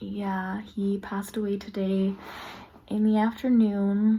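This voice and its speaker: A woman speaks at a fairly slow pace in a medium pitch, somewhat breathy, with a dark, mellow tone. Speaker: lifestyle vlogger. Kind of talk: casual vlog talk to camera. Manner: casual, filler-heavy.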